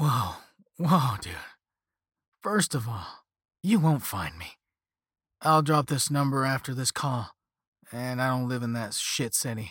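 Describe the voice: In a very clean recording with a silent background, a man uses a put-on character voice at medium pitch, slightly husky at the edge and fairly bright in tone, with lively intonation, a slow pace, and long, frequent pauses.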